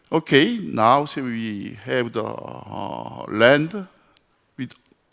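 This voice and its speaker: Very slowly, a man talks with a non-native accent. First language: French. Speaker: architect. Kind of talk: conference presentation. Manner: halting.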